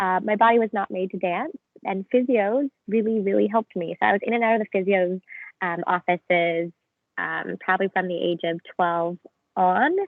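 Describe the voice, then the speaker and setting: Here is a woman with a Canadian accent and an unremarkable speaking voice. She keeps a moderate pace and ordinary pitch variation. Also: medium pitch for a woman. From Canada. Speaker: physiotherapy student, former professional dancer. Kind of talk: casual chat. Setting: video call.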